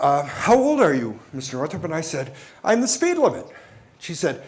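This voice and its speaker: With an American accent, the speaker's pitch swings very widely, heard over noticeable background noise and audible room echo. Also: man. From New York. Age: 60s. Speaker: company executive. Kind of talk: keynote speech. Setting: stage with audience.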